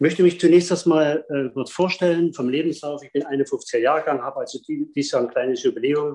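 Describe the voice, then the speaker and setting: At a moderate pace and with hardly any pauses, a man speaks in a fairly high, dark, mellow tone, his intonation fairly even and his loudness swinging widely. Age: 50s. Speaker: speed skating coach. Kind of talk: storytelling in online salon.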